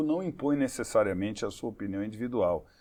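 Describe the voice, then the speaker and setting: A man with a medium-pitched voice uses ordinary pitch variation and a normal speaking voice. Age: 60s. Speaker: advertising executive. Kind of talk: interview.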